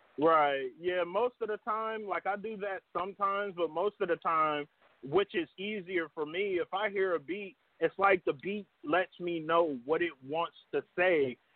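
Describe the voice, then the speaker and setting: Using an American accent, a man talks at a fairly slow pace in a high pitch with ordinary pitch variation. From Dayton, Ohio. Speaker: rapper and songwriter. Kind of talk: casual interview. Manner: hesitant, many fillers.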